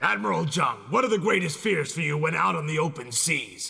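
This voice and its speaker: A man uses a raspy, put-on character voice at a fairly high pitch. He talks at a fairly quick pace with very wide pitch swings. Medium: fan dub. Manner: challenging, dramatic.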